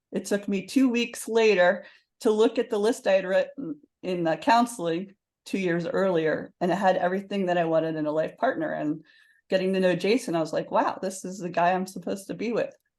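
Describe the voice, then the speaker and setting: A woman's medium-pitched voice at a fairly quick pace, with ordinary pitch variation and a quiet background. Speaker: author and success coach. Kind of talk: interview.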